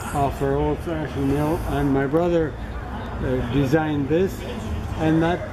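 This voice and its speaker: The speech moves at a fairly slow pace with noticeable background noise. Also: man. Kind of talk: informal explanation to visitor. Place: tent. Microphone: phone near.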